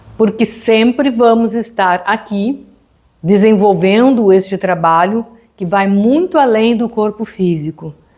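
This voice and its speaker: Pitch variation is ordinary. The delivery is very slow. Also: woman, fairly high pitch for a woman. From southern Brazil, Rio Grande do Sul. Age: 70s. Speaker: yoga teacher. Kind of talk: lecture.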